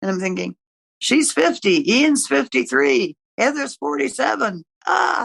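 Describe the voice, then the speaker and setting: Vocal fry runs through this woman's medium-pitched voice, which moves in very wide pitch swings at a fairly slow pace. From eastern Canada (Ontario and Quebec). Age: 80s+. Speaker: retired nurse, podcast guest. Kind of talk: casual chat.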